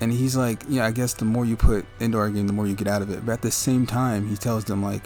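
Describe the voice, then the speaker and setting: A man with a medium-pitched voice talks at a fairly quick pace and fairly even intonation, with music playing in the background. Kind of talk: casual unscripted game review commentary. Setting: home mic without pop filter. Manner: rambling.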